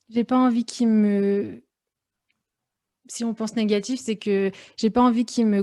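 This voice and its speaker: A woman's fairly high, dark and mellow voice in flat monotone, on a very clean recording with a silent background. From France, Lyon. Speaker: fashion professional. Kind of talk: podcast interview. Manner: hesitant, many fillers.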